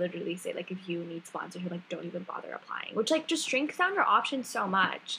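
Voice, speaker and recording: A woman with medium pitch speaks at a fairly quick pace. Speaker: podcast co-host. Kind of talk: casual chat. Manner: loud.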